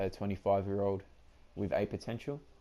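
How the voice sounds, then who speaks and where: Spoken at a moderate pace with ordinary pitch variation, this dark, mellow voice comes with an Australian accent. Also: man. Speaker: gaming YouTuber. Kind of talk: gameplay commentary. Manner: casual, hesitant with many fillers.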